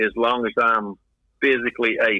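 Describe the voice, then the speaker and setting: A man talks with a Texan accent at medium pitch. His intonation stays monotone and flat. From Texas, Houston. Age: 70s. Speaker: lodge secretary, freemason. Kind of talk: interview.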